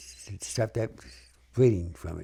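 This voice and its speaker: Somewhat breathy, with a dark, mellow tone, a man talks at a moderate pace in a New York accent. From New York City (Bronx). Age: 90s. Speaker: war veteran. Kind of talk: oral history interview. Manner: halting, with repetitions.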